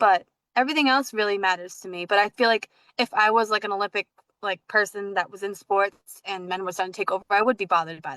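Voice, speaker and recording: A woman speaks at a very fast pace with an American accent. The sound is dry and close, with no echo. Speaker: podcast host. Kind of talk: casual chat. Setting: livestream video call. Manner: halting, filler-heavy.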